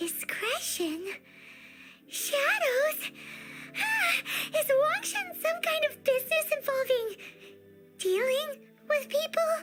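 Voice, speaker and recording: A put-on character voice speaks at an extremely high pitch and a very slow pace. Faint music plays in the background. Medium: video game.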